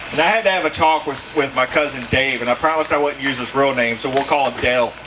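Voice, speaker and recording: A man's fairly high voice in a Texas accent, at a fairly quick pace with ordinary pitch variation, amid audible room echo and noticeable background noise. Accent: Southern US (Texas). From East Texas. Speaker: stand-up comedian. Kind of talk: stand-up. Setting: stage with audience in a pub.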